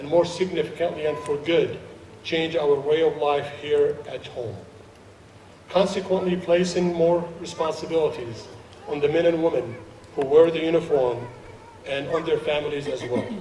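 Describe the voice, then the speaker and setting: Pausing long and often, a man speaks at a moderate pace with fairly even intonation and a fairly high pitch, amid audible room echo and noticeable background noise. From Jordan, Palestinian family, Saudi Arabia. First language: Arabic. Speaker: naturalized citizen guest speaker. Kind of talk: ceremony speech.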